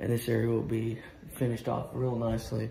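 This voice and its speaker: A man talks with audible room echo and light background noise in the recording. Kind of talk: casual walkthrough tour. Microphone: phone near.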